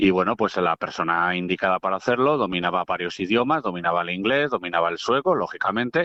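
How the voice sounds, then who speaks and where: Spoken at a very fast pace with a Madrid accent, the voice has lively intonation and hardly any pauses. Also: man, very deep, low pitch for a man. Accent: Vallecas (Madrid) Spanish. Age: 40s. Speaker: football radio commentator. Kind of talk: casual chat.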